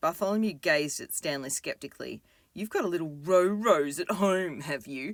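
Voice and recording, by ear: A passage read aloud in a natural voice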